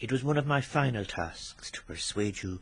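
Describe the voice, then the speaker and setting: Against a quiet background, a man speaks at a moderate pace. His voice is somewhat breathy, with ordinary pitch variation. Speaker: poet. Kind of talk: poetry reading.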